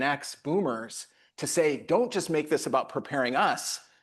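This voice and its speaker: Ordinary pitch variation in a plain, everyday voice, moderately paced, over a quiet background. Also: man. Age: 50s. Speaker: nonprofit CEO. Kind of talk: panel discussion.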